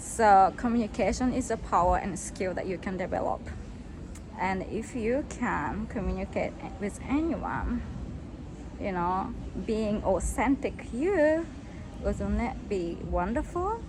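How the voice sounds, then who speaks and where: A woman with a Japanese accent speaks at a fairly slow pace, with long, frequent pauses. Audible room echo surrounds her voice. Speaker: English coach. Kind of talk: self-introduction video. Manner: halting.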